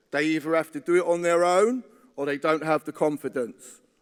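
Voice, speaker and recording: A high-pitched man talks at a moderate pace, the sound dry and close with no echo. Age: 50s. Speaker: trade union delegate. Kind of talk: conference speech. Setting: conference hall.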